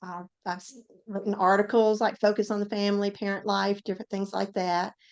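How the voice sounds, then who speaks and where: A woman speaks with a medium pitch. Her intonation stays fairly even. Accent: Southern. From US South, Tennessee. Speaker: author and former ICU nurse. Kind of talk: interview.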